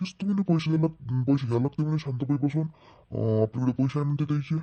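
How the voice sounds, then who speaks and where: A man does a cartoonish character voice at a fairly high pitch, keeping a moderate pace and ordinary pitch variation. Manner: nosy, eager.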